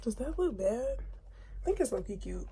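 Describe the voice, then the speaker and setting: A woman is whispering. Noticeable background noise and audible room echo surround her. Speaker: lifestyle vlogger. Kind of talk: get ready with me vlog. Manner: casual.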